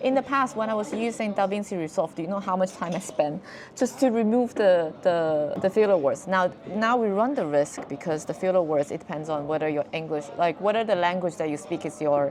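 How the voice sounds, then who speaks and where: Hardly pausing, a woman with a non-native accent talks fairly quickly at medium pitch, her intonation lively. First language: not English. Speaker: video creator. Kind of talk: tutorial. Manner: casual, halting with repeated words.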